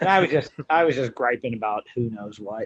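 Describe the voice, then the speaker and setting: A man speaks with an American accent at a medium pitch. His pitch varies in an ordinary way. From western Pennsylvania. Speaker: college strength coach. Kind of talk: casual podcast chat.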